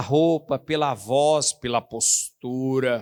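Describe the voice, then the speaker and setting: The recording is very clean, with a silent background and a dry, close sound free of echo. A man speaks with ordinary pitch variation. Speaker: pastor. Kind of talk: sermon. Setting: church.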